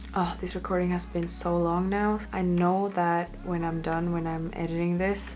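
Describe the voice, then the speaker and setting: Against noticeable background noise and audible room echo, a woman speaks at a moderate pace with hardly any pauses. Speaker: fitness vlogger. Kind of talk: casual vlog talk to camera. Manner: hesitant, many fillers.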